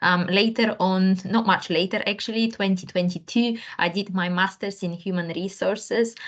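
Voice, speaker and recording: A woman's medium-pitched voice with a non-native accent, fairly even intonation and hardly any pauses. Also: moderate pace. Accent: foreign. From Bulgaria. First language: Bulgarian. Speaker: career coach. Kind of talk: panel discussion.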